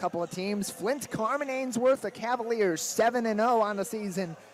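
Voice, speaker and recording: A man speaks with a high pitch. Noticeable background noise runs underneath. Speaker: sports broadcaster, play-by-play announcer. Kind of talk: television game opening, pregame intro.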